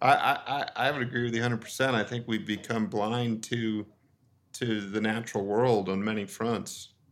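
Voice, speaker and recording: A man talks at a moderate pace with a General American accent, using an unremarkable speaking voice at medium pitch. His intonation stays fairly even, and the recording is very clean with a silent background. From Colorado. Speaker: photographer and author. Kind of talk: casual chat.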